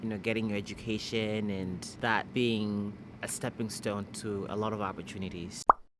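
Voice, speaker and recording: A man's moderate-paced speech comes through over noticeable background noise. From Malawi. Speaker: international student. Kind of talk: interview answers.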